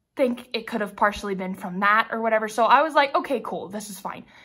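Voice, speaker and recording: A woman's bright, sharp tone on a very clean recording with a silent background. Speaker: diamond painting craft YouTuber. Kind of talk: casual unboxing vlog. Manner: animated.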